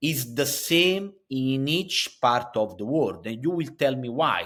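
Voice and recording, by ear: Speaking at a slow pace, a man with a medium pitch and a bright, sharp tone uses lively intonation.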